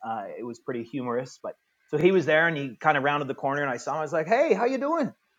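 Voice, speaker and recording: A man with a Canadian accent, very fast, fairly high-pitched, with lively intonation. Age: 50s. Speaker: tennis director and tournament announcer. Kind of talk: interview.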